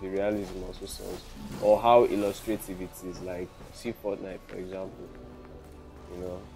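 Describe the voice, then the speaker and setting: Over music in the background, a speaker with a Nigerian accent uses fairly even intonation, big swings in loudness, and long, frequent pauses. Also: man, fairly low pitch for a man, moderate pace. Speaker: gaming commentator. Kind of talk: casual gameplay commentary.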